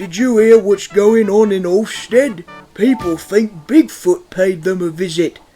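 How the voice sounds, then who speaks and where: A put-on character voice at a middle pitch moves at a fairly slow pace. Faint music plays in the background. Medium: machinima. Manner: polite, careful.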